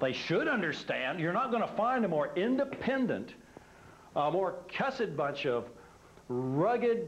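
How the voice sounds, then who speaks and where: Pitched high for a man, his voice swings very widely in pitch at a fairly slow pace and very even loudness, with noticeable background noise and audible room echo. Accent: American. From Texas. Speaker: religious organization founder. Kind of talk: talk to an audience. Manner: casual, anecdotal storytelling.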